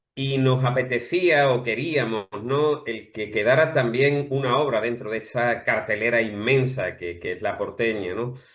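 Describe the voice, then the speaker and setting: At a fairly slow pace with hardly any pauses, a man speaks at medium pitch with ordinary pitch variation. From Andalusia, Spain. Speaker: playwright. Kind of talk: interview.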